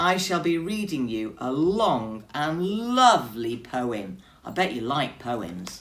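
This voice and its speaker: A booming put-on character voice at a fairly slow pace, with very wide pitch swings. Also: woman, very deep, low pitch for a woman. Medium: read story. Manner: booming, pompous.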